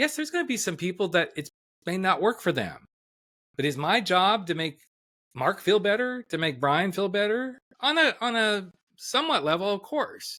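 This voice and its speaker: A man projects a raised, high-pitched voice with a bright, sharp tone. His pitch swings very widely at a moderate pace. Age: 60s. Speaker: life coach. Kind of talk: podcast interview.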